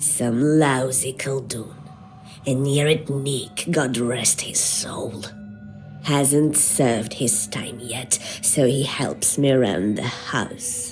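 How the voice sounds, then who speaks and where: A quiet, put-on character voice at a low-to-middle pitch speaks at a very slow pace over clear background noise. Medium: video game. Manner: dry, knowing, unhurried.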